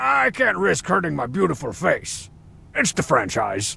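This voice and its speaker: A man puts on a raspy character voice with a fairly high pitch. He moves at a moderate pace. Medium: video game. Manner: sarcastic, cocky.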